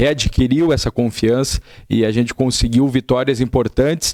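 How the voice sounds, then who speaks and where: A man talks in a plain, everyday voice, his medium pitch showing ordinary pitch variation at a moderate pace. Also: dry, close sound with no echo. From Florianópolis, southern Brazil. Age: 20s. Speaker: football head coach. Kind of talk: TV interview.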